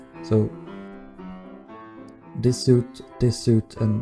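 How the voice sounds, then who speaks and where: Music plays in the background. A man with a fairly low pitch speaks at a very slow pace. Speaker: Minecraft builder. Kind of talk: game walkthrough commentary.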